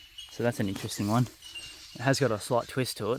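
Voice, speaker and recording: In an Australian accent, the speaker talks at a fairly quick pace with fairly even intonation over noticeable background noise. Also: man. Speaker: outdoor investigator vlogger. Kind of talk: walking commentary outdoors. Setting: outdoors in the bush. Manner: whispering.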